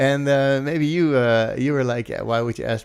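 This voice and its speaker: Speaking at a fairly quick pace, a man uses a medium-pitched voice with ordinary pitch variation. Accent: Dutch. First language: Dutch. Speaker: music production trainer and stream host. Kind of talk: live stream interview. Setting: live stream.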